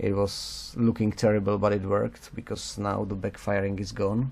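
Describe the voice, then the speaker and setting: With a dark, mellow tone and fairly low pitch, a man talks at a fairly slow pace. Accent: non-native. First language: not English. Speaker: motorcycle restorer. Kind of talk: casual talk to camera. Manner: hesitant, halting.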